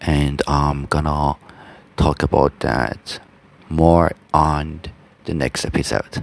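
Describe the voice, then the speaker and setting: A man's very deep, low, monotone voice with flat intonation, in a Persian accent at a very slow pace, with noticeable background noise. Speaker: language teacher podcaster. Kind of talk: tutorial. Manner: halting, many fillers.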